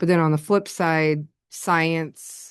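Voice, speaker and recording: The background is quiet while a woman speaks. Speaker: school administrator presenting to board. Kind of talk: presentation at board work session.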